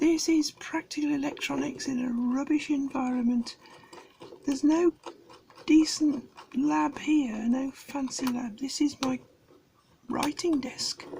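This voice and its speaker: In a British accent, the speaker goes at a fairly slow pace with fairly even intonation and long, frequent pauses, over noticeable background noise. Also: woman, high pitch for a woman. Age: old. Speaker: amateur radio hobbyist. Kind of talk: casual tutorial commentary. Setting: home writing desk at night. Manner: soft-spoken.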